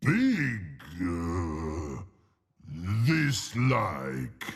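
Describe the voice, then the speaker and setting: A man's put-on character voice, growling and very deep and low, with very wide pitch swings. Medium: video game. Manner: broken fragmentary speech.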